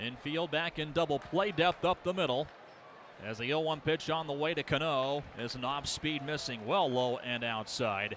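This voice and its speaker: The man speaks in a normal speaking voice with a fairly high pitch. His pitch varies in an ordinary way. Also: moderate pace. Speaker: sports play-by-play announcer. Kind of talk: baseball play-by-play commentary.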